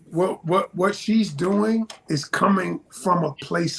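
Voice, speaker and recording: This man's voice sits high for a male and moves at a very slow pace. Noticeable background noise runs underneath. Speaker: relationship advice guest on podcast. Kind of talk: podcast discussion. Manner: loud; animated.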